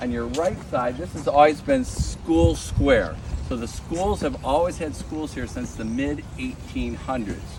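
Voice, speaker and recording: A man with an American accent at a moderate pace, with noticeable background noise and audible room echo. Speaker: tour guide and local historian. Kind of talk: guided walking tour talk. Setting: outdoors with a tour group. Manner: loud.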